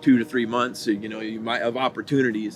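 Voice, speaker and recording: Music plays in the background as a man talks at a medium pitch. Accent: American. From US Midwest, Missouri. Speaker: conservation group staff, podcast co-host. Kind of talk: casual chat.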